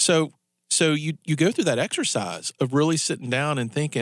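The sound is dry and close with no echo as a man talks. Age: 40s. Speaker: radio talk show host. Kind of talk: live talk radio patter leading into a commercial break, teasing the next segment. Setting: radio studio, broadcast live on air and Facebook Live. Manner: loose, conversational, with repeated words and self-restarts; chuckling, upbeat teaser delivery.

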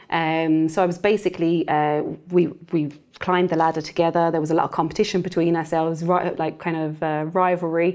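Her fairly low voice moves at a fairly quick pace in a monotone, flat intonation. The woman's recording is very clean, with a silent background. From London, moved to rural Waterford, Ireland at 13. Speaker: property investor, former accountant. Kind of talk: interview. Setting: studio. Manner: hesitant, many fillers.

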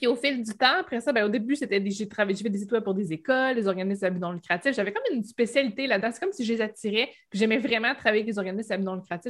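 At a very fast pace with hardly any pauses, a woman with a fairly high pitch and a Quebec accent talks with ordinary pitch variation. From Quebec, Bas-Saint-Laurent (Rimouski). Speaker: Shopify expert, web entrepreneur. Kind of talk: casual interview.

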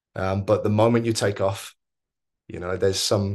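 Over a quiet background, a fairly low-pitched man with a southern English accent talks at a fairly quick pace in a monotone, flat intonation. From Oxford, southern England. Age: 30s. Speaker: football coach. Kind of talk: interview. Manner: hesitant, many fillers.

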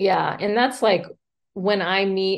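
Vocal fry runs through the speech of a woman with an American accent. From US South, Mobile, Alabama. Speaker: real estate agent. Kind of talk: casual interview.

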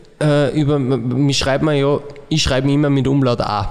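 Over noticeable background noise, a man talks very slowly in a fairly high pitch. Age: 30s. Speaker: football coach, former player. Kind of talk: casual chat.

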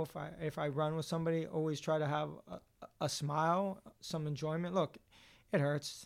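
A man with a New York accent, fairly high in pitch, with monotone, flat intonation. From New York City. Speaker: runner and nonprofit worker. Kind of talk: interview. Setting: in person in Boston. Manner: fast.

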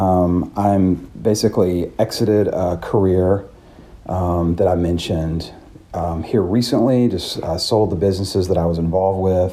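A man's very deep, low voice with fairly even intonation at a moderate pace. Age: 30s. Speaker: business owner and aspiring hiker. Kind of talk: reflective solo audio diary. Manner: hesitant, filler-heavy.

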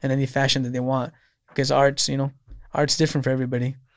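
In a very clean recording with a silent background, a man with a fairly high pitch speaks in an American accent. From Salinas, California. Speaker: bar owner. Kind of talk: casual chat. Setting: studio.

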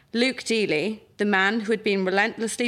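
A woman with a South Wales accent at medium pitch and moderate pace, ordinary pitch variation, on a very clean recording with a silent background. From South Wales, Pontypridd. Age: 20s. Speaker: writer. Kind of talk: reading aloud.

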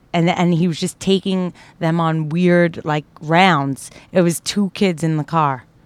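Intonation stays fairly even. The voice carries a New York accent. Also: woman, fairly low pitch for a woman, fairly slow pace. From Brooklyn, New York. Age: 30s. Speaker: stand-up comedian. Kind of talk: casual chat.

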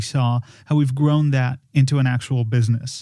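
A man with a fairly high pitch and a dark, mellow tone speaks at a fairly slow pace with ordinary pitch variation, recorded very cleanly against a silent background. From Poland. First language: Polish. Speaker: film producer and podcast designer. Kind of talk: casual chat.

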